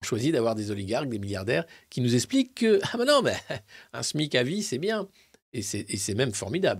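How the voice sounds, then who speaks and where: The speaker sounds animated and somewhat breathy, with lively intonation at a moderate pace in a very clean recording with a silent background. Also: man. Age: 50s. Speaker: political commentator. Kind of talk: live press review.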